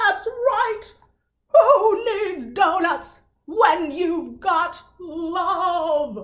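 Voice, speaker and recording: A woman uses a put-on character voice at an extremely high pitch, with lively intonation. Her pace is very slow. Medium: read story.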